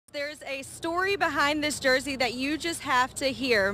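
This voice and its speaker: A woman's high-pitched, raised and projected voice at a moderate pace, with music in the background. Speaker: TV news reporter. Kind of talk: TV news reporting and on-air reel.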